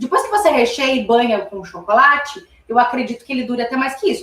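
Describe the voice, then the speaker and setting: With ordinary pitch variation, a normal speaking voice talks at a fairly quick pace. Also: woman. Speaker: confectionery instructor. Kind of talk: live cooking class tutorial. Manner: chatty, informal.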